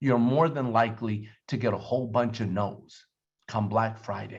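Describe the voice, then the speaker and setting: A man speaks loudly. His tone is animated. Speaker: network marketing team leader. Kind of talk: sales training talk. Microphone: distorted sound.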